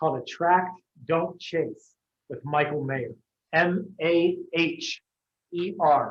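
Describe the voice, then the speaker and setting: A high-pitched male voice with an American accent and long, frequent pauses. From northeastern Ohio. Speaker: real estate agent and workshop presenter. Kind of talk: training presentation. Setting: live room with Zoom attendees. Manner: fast; animated.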